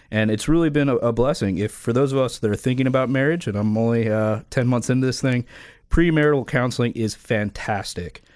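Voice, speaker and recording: A man with a normal speaking voice and an American accent talks at a fairly quick pace, with a medium pitch and ordinary pitch variation. His loudness is very even, and the recording is very clean with a silent background. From Florida. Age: 30s. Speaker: car dealership owner. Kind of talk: radio interview.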